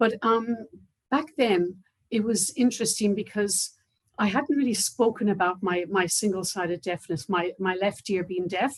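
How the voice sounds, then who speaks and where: A woman with an Irish accent speaks at a moderate pace, with medium pitch and ordinary pitch variation. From Ireland, near Waterford. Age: 60s. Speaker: cochlear implant recipient. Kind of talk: testimony. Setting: online video event.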